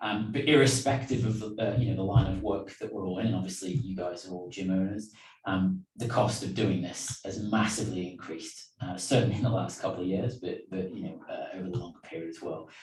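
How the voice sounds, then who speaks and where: Speaking with a British accent and hardly any pauses, this voice shows ordinary pitch variation amid noticeable background noise and audible room echo. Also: man, fairly low pitch for a man. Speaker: business trainer. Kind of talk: online lecture. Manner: hesitant, many fillers.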